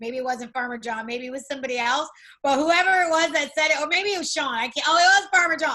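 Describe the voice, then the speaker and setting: A woman's raised, projected voice, high in pitch, bright and sharp in tone, at a very fast pace. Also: ordinary pitch variation. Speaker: network marketing team leader. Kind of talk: online training session.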